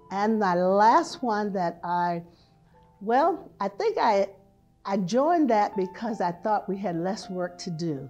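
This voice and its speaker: Fairly slow delivery in an American accent, with music playing behind it. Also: woman. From Hampton, Virginia. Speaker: retired prevention specialist and health teacher. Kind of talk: oral history interview answer.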